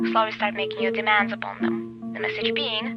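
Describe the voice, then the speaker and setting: A woman speaking at a very fast pace, with music in the background. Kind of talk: ominous narration practice of a script about cult leadership.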